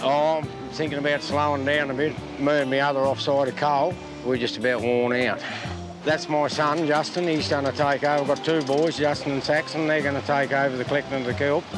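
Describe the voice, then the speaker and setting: Over clear music in the background, a man talks at a fairly quick pace with fairly even intonation, the sound dry with no echo. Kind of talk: interview answer. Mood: relaxed, plain-spoken. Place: beach.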